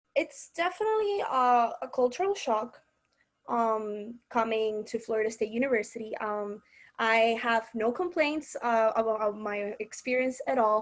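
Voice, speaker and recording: On a very clean recording with a silent background, a woman with a Spanish accent speaks at a fairly slow pace and fairly high pitch with ordinary pitch variation. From Madrid, Spain. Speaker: university student. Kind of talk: interview.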